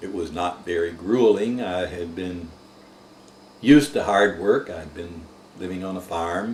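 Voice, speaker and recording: A man's very deep, low voice in an American accent, fairly slow, with long, frequent pauses, ordinary pitch variation and big swings in loudness. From US South. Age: 70s. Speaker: war veteran. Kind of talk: oral history interview.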